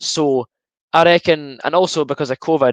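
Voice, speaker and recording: A fairly high-pitched male voice with an Edinburgh accent and ordinary pitch variation, dry and close with no echo. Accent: Edinburgh Scottish. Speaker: football fan streamer. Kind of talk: live watchalong commentary. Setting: live stream. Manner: fast.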